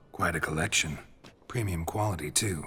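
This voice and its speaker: Using a put-on character voice, a man talks at a moderate pace in a very deep, low pitch. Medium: video game. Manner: terse, dry.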